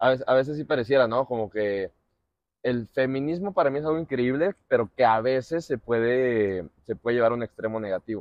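A man with a Mexican accent speaks at a moderate pace with ordinary pitch variation, in dry sound with no echo against a quiet background. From Mexico. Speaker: podcast host, former footballer; podcast host. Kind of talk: casual chat. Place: garden. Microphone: lapel.

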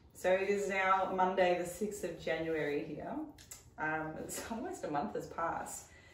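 With an Australian accent, the speaker goes at a fairly slow pace with ordinary pitch variation, amid noticeable background noise and audible room echo. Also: woman. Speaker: fitness coach and dietitian. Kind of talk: casual chat.

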